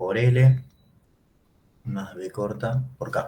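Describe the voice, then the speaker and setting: Very slow in pace, a man's fairly low voice comes across as somewhat breathy. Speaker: economics teacher. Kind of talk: lecture.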